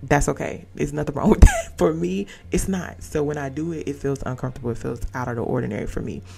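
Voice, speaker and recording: Over noticeable background noise, a woman with a very deep, low voice talks at a very fast pace. Her pitch swings very widely and her loudness shifts in big swings. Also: hardly any pauses. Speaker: podcast host. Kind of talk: casual monologue.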